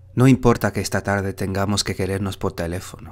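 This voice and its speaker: A man speaks in an unremarkable speaking voice, keeping a moderate pace. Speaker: poetry reader, Spanish instructor. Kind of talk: poetry reading, reading aloud.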